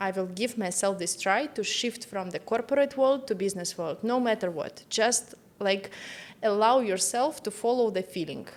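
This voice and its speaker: In a Russian accent, a woman talks at a moderate pace with a fairly high pitch and ordinary pitch variation. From Russia, Moscow. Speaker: entrepreneur, business strategist. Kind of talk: interview. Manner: halting.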